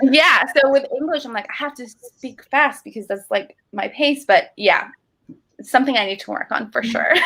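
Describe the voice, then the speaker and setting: A woman with a high pitch uses a raised, projected voice, her loudness swinging widely. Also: ordinary pitch variation, moderate pace. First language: Spanish. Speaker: alumna sharing career advice. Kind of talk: casual interview chat. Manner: animated.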